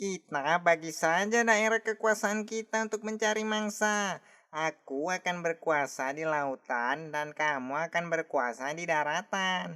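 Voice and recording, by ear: A cartoonish character voice at a middle pitch runs on with hardly any pauses. The recording is very clean, with a silent background. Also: fairly slow pace.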